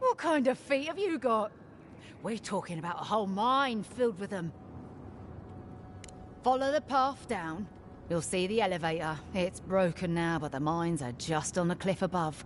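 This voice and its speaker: In a gruff, put-on character voice, a woman speaks at medium pitch and a moderate pace, with long, frequent pauses and clear background noise. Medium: video game. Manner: crude, gruff.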